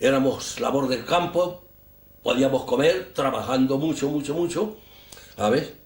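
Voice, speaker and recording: A man talks at a fairly slow pace. Room echo is audible around him. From Spain. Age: 80s+. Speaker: war veteran. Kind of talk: interview testimony. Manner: halting, repetitive.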